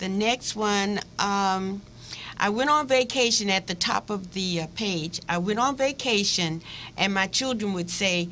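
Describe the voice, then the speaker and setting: A woman speaks at medium pitch and a moderate pace. Her tone is bright and sharp, with very wide pitch swings. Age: 70s. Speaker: retired physical education teacher. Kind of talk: interview. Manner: halting.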